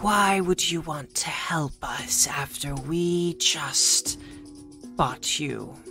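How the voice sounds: A hissing put-on character voice at a middle pitch, very slow, with clear music in the background.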